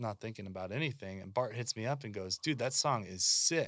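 On a very clean recording with a silent background, a man with an American accent and an unremarkable speaking voice talks at a moderate pace with lively intonation. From Seattle, US West Coast. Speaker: musician and songwriter. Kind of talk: casual chat.

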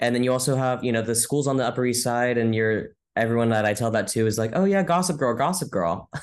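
A man's medium-pitched voice with an American accent, very fast and with hardly any pauses, ordinary pitch variation, very even loudness and a quiet background. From California, Modesto. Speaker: Broadway performer. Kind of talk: casual interview chat.

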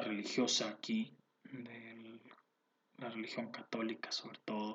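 This man speaks with a Mexican accent. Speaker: podcast host. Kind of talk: casual monologue. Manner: halting, many repetitions.

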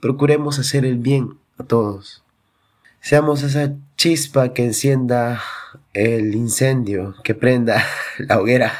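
A man at medium pitch speaking at a very slow pace, with long, frequent pauses. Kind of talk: devotional talk. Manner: coughing at times.

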